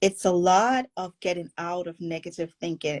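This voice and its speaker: In a Caribbean accent, a woman speaks at a very slow pace and fairly low pitch, with a dry, close sound and no echo. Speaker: forgiveness coach. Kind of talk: podcast interview.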